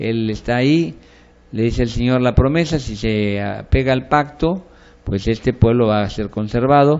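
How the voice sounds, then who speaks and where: A man has an ordinary speaking voice at a medium pitch. He talks at a fairly slow pace with ordinary pitch variation. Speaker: pastor teaching a bible course. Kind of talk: lecture.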